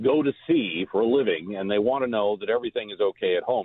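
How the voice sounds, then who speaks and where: A man talks at a fairly quick pace with an American accent. His pitch varies in an ordinary way. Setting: phone call.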